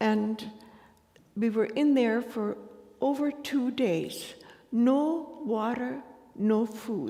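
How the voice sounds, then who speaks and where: A woman speaks with a high pitch and ordinary pitch variation. Her tone is dark and mellow. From Ukraine. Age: 80s+. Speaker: Holocaust survivor. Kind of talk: testimony. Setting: synagogue ceremony with audience. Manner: halting, with frequent hesitations.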